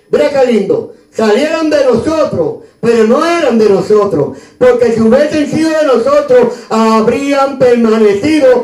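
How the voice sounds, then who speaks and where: With a Puerto Rican accent and an extremely high pitch, a man speaks in an animated tone at a fairly slow pace, amid audible room echo and noticeable background noise. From Puerto Rico (Río Piedras, San Juan). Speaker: pastor. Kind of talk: sermon.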